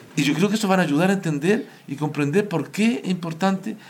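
A man speaks at a very fast pace, somewhat breathy, with ordinary pitch variation. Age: 50s. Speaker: local councillor and social worker. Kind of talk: panel discussion.

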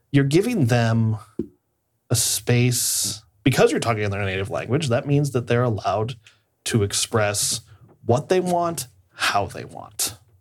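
In a very clean recording with a silent background, a man speaks at a fairly slow pace with long, frequent pauses. His somewhat breathy voice has medium pitch and lively intonation. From Iowa, US Midwest. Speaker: play therapist. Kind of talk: casual chat.

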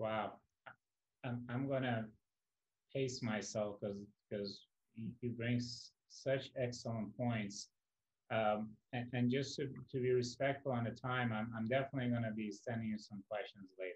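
A man speaks at a moderate pace and medium pitch, his voice somewhat breathy. His intonation is monotone and flat, broken by long, frequent pauses. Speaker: podcast founder and host. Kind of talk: casual interview.

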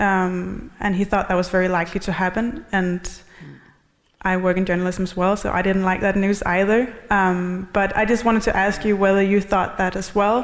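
The speaker has a Danish accent and fairly even intonation. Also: woman, medium pitch for a woman, moderate pace. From Denmark. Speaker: historian, audience member. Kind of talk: audience question. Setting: stage with audience.

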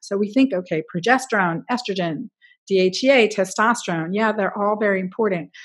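A woman speaks in a plain, everyday voice with a fairly high pitch and ordinary pitch variation. The background is quiet. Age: 50s. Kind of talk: interview.

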